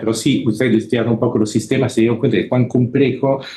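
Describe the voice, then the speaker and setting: A man's very fast speech in a Buenos Aires accent, fairly even in intonation, with audible room echo. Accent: Italian speaker with Buenos Aires Spanish. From Italy. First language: Italian (speaking Spanish). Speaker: computer scientist. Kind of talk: lecture. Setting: auditorium with audience. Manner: halting.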